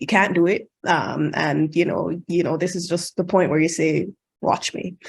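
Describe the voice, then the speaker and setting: Fairly even in intonation, a woman's fairly low-pitched voice comes through with a Jamaican accent. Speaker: international medical graduate, radiology match panelist. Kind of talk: virtual panel talk. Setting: video call.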